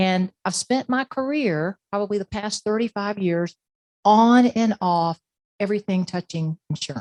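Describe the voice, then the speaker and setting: A woman with an ordinary speaking voice talks at a moderate pace and medium pitch, showing ordinary pitch variation in a dry, close sound with no echo. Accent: American. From Florida, Plant City. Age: 60s. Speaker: podcast host, insurance expert. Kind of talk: presentation; podcast intro. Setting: stage with audience. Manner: conversational.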